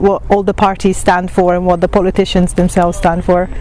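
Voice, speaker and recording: A woman's medium-pitched voice with an Italian accent, fairly quick and monotone in its flat intonation, over noticeable background noise. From Italy. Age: 20s. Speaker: student. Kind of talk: interview answers. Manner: hesitant, many fillers.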